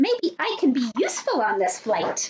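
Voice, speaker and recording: A woman's put-on character voice, high-pitched, at a moderate pace with very wide pitch swings. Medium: read story. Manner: earnest, small and eager.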